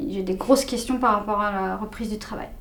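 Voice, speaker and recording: A woman's fairly high voice with fairly even intonation and audible room echo. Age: 30s. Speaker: patient in role-play. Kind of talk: role-play dialogue. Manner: hesitant.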